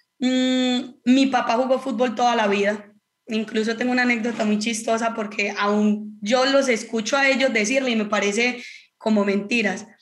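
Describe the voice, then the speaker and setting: In an Antioquian accent, a woman speaks at a moderate pace with a fairly high pitch. Her intonation is monotone and flat, and audible room echo is present. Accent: Colombian Antioquian (paisa) Spanish. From Colombia, Antioquia (Marinilla). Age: 30s. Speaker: professional footballer. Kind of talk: casual chat.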